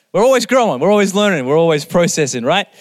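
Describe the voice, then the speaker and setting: A man talks very fast, and his intonation is lively. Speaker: preacher. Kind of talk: sermon. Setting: church.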